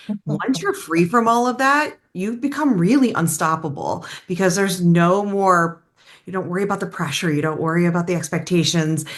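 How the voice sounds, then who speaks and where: At a fairly quick pace, a woman with an unremarkable speaking voice talks in a fairly low pitch with lively intonation. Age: 50s. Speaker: business coach. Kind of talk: panel discussion.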